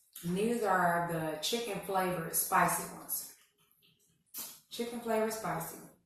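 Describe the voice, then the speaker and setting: The speech moves at a moderate pace with long, frequent pauses and big swings in loudness. Pitch variation is ordinary, and audible room echo surrounds it. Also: woman, medium pitch for a woman. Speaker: mukbang vlogger. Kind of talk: casual eating vlog. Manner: eating while talking.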